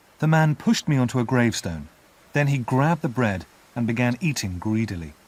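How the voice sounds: Lively intonation in a natural reading voice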